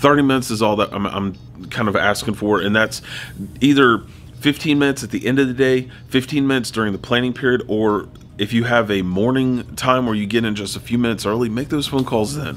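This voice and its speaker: Against music in the background, a man talks at a very fast pace with fairly even intonation. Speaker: teacher. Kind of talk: tutorial. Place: home room.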